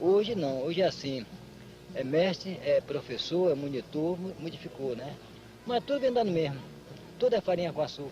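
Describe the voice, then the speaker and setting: A man's high-pitched voice at a moderate pace, with very wide pitch swings, long and frequent pauses, and noticeable background noise. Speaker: capoeira master. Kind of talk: documentary interview.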